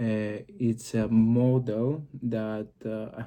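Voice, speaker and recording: This man speaks with a Greek accent at a medium pitch, his tone dark and mellow and his intonation flat and monotone. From Greece. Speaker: occult and psychology video creator. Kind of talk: explanatory monologue to camera. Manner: halting, many fillers.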